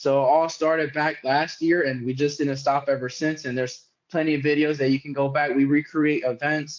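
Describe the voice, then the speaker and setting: The delivery is fairly quick, with hardly any pauses. Its intonation stays monotone and flat. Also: man, fairly high pitch for a man. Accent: American. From New York City (Bronx). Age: 20s. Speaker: social media wrestling content creator. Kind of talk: podcast interview.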